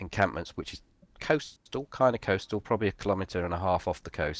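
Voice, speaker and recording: Against a quiet background, a man with a very deep, low pitch talks at a very fast pace with ordinary pitch variation. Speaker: gaming podcast co-host. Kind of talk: casual chat while gaming.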